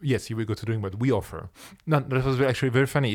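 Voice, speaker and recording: A man with a French accent talks at a very fast pace with fairly even intonation. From France. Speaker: ensemble founder and artistic director. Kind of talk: promotional talk about a concert residency.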